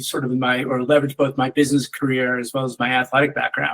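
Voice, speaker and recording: A fairly high-pitched man's voice with an American accent. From Upstate New York (Lake Placid). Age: 60s. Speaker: business executive. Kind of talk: career talk to students. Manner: hesitant, many fillers and repeats.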